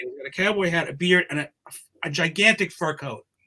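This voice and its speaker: Here is lively intonation in a New York accent. The pace is moderate. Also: man. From New York City, Queens. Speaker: humor columnist. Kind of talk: casual chat.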